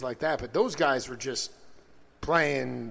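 Against a quiet background, a man is speaking. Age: 40s. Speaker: radio host. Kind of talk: casual interview chat. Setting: studio. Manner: animated.

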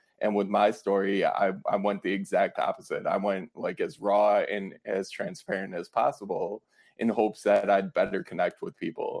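With an American accent, a man speaks at a moderate pace and leaves hardly any pauses. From Wisconsin, Fond du Lac. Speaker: author, former police officer in recovery. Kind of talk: interview about personal story.

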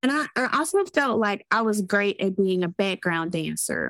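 The recording is very clean, with a silent background. A woman with a Southern US accent speaks at a medium pitch. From US South. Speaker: therapist and business owner. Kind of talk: casual interview chat.

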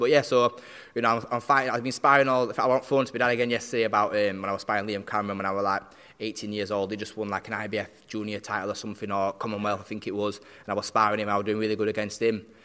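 Very fast and bright, sharp in tone, the speaker uses a South Yorkshire accent and ordinary pitch variation on a very clean recording with a silent background. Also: man, hardly any pauses. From South Yorkshire, Barnsley. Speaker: professional boxer. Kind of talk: interview. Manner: halting.

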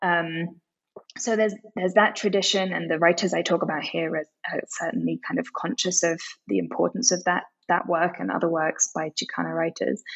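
A woman with a British accent speaks at a fairly quick pace. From UK, partly raised in Tokyo. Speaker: author and literary translator. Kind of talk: interview.

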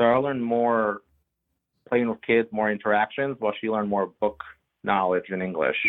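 A man with a Bulgarian accent, fairly low in pitch, fairly even in intonation, at a moderate pace. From Bulgaria, moved to US at five. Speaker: immigrant interviewee. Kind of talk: interview.

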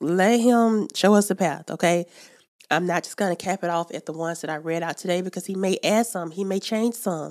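Speaking in an American accent at a fairly quick pace, a woman with a medium-pitched voice shows ordinary pitch variation on a very clean recording with a silent background. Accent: country dialect. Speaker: podcast host. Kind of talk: Bible teaching. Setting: studio. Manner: animated.

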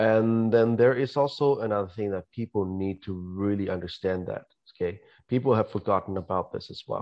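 Here is a man with an ordinary speaking voice and a fairly low pitch. He keeps a moderate pace with ordinary pitch variation. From Canada. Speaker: podcast guest. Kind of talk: casual chat.

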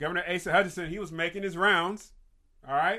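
A man's voice, bright and sharp in tone. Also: quiet background. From Kentucky. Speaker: podcast host and nonprofit leader. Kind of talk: solo commentary show on news and faith. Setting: live stream on Facebook and YouTube.

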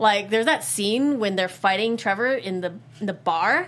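With a plain, everyday voice, a woman speaks at a fairly high pitch with lively intonation, in a very clean recording with a silent background. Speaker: podcast host. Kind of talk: casual chat.

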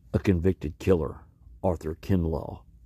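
Somewhat breathy and dramatic, a man speaks at a moderate pace with a very deep, low pitch. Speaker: podcast host. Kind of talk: true-crime narration, scripted news-style retelling. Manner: grave, measured, somber; dramatic emphasis, repeats key words ('today, yes, today').

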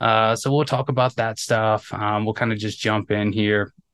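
A plain, everyday voice moves at a moderate pace over a quiet background. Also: man. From North Carolina. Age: 30s. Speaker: podcast host. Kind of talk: casual interview chat.

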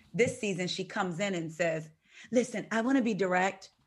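An unremarkable speaking voice at a moderate pace, with ordinary pitch variation against a quiet background. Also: woman. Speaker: podcast co-host guest. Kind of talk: casual chat.

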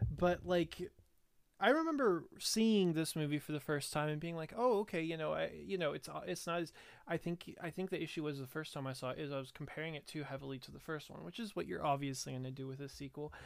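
The man talks at a very fast pace. His fairly high voice shows ordinary pitch variation. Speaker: podcast co-host. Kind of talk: casual comedic movie chat.

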